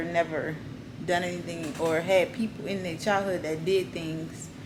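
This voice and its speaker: Amid noticeable background noise and audible room echo, a woman speaks at a moderate pace in a fairly low pitch with fairly even intonation. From US South, New Orleans. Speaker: YouTuber. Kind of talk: casual vlog talk.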